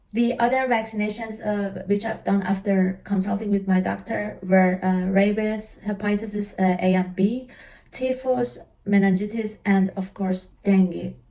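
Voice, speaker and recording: In an Iranian accent, a woman speaks at medium pitch and a fairly slow pace, her tone dark, mellow and somewhat breathy, with fairly even intonation. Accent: Iranian (Persian). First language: Persian. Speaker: travel vlogger. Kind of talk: casual tutorial. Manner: halting, frequent fillers.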